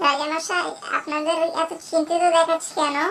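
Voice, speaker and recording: The speaker uses a cartoonish character voice. The pace is moderate. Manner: friendly, polite.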